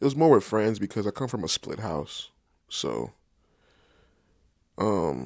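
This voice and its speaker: Very wide pitch swings and vocal fry mark this voice with an American accent, broken by long, frequent pauses on a very clean recording with a silent background. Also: man, fairly low pitch for a man. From Southern California. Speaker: podcast guest. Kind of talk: casual interview.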